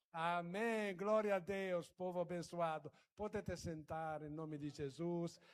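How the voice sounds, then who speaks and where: A man's high-pitched voice, fairly slow in pace, with fairly even intonation. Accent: Italian. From Italy. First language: Italian (speaking Portuguese). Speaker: guest preacher. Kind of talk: sermon. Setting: church. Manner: halting.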